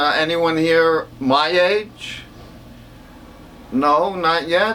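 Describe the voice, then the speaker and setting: A man's high voice, with pitch that varies normally, comes through over noticeable background noise. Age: 80s+. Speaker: stand-up comedian. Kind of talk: stand-up.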